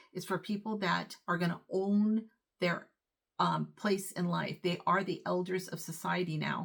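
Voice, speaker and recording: With vocal fry and fairly even intonation, a woman talks at a fairly slow pace in a medium pitch. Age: 60s. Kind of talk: casual talk to camera.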